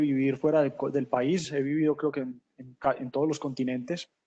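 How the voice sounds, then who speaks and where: Using monotone, flat intonation, a man with a Medellín accent talks at a fairly quick pace in a fairly high pitch. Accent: Medellín (paisa). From Colombia, Medellín (paisa). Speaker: corporate sustainability manager. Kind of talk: webinar panel talk. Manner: hesitant, many fillers and repetitions.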